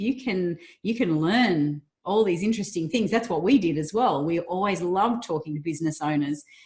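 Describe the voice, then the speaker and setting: A woman's somewhat breathy voice with lively intonation, an upbeat tone and a fairly quick pace. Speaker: interview host. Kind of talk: interview questions.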